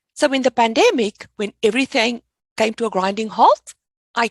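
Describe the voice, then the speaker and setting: In a South African accent, a woman talks at a moderate pace with lively intonation. Her fairly high pitch comes through as a dry, close sound with no echo. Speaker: finance educator. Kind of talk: podcast interview.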